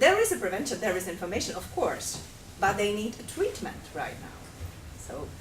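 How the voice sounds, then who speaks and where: A woman at a moderate pace, big swings in loudness, noticeable background noise and audible room echo. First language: not English. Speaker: workshop participant, journalist. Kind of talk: mock media interview role-play. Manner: formal interviewer style.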